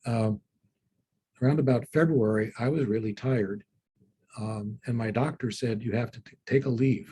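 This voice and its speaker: With a dark, mellow tone and a somewhat breathy quality, a man speaks at medium pitch with fairly even intonation in a dry, close sound with no echo. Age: 60s. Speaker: law professor and litigator. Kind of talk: interview on a panel. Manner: halting, many fillers.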